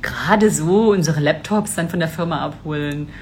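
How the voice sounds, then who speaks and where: Over noticeable background noise, a woman talks in a very deep, low pitch with ordinary pitch variation. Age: 40s. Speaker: business mentor. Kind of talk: live stream talk. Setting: live video stream.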